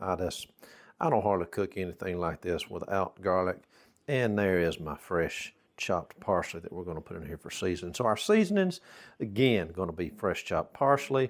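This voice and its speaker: This man has a Southern US accent and a very deep, low pitch with ordinary pitch variation. His tone is relaxed, his pace moderate, and his loudness swings widely. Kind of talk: casual cooking talk to camera. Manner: folksy, relaxed.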